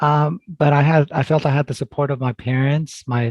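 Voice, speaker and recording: A man with a normal speaking voice, fairly high in pitch, at a moderate pace with fairly even intonation, in a dry, close sound with no echo. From California Central Valley (moved from Mexico at 5-6). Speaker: family medicine doctor. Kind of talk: interview.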